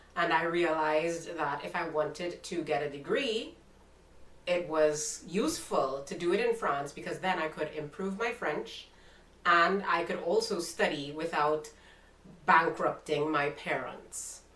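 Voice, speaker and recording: In a Trinidadian accent, a woman with a fairly low voice speaks at a fairly slow pace with ordinary pitch variation, amid audible room echo and noticeable background noise. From Trinidad and Tobago. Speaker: YouTuber. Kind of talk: casual interview chat.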